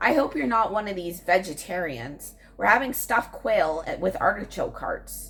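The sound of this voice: A woman's put-on character voice, shrill and raspy, medium in pitch with very wide pitch swings, at a moderate pace with hardly any pauses, over light background noise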